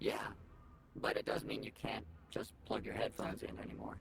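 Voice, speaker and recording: A put-on character voice at a fairly quick pace, over clear background noise. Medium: video game. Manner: sarcastic, quick-witted.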